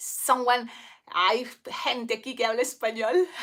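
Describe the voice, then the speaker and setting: A woman with a strong Spanish accent speaks at a fairly slow pace in a high-pitched voice with a bright, sharp tone. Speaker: balloon twister. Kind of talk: casual livestream chat. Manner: halting.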